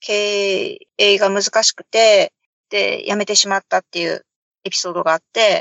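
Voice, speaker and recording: Her volume rises and falls sharply. The woman talks rather slowly. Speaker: guest, mother raising a bilingual child. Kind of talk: casual chat.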